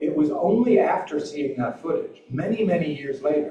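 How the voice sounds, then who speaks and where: With audible room echo, a man speaks in an American accent. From US South. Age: 60s. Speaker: journalist and author. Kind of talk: public talk Q&A.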